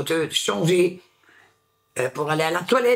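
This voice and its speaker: Vocal fry runs through this woman's voice, and her intonation is lively. She talks at a very slow pace. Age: 50s. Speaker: former homeless person. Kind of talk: testimony. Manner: halting.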